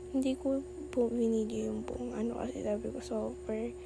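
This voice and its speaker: A soft-spoken woman talks at a moderate pace. Audible room echo and noticeable background noise surround her voice. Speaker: beauty vlogger. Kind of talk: voice-over vlog narration. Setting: voice-over recorded at night. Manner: casual.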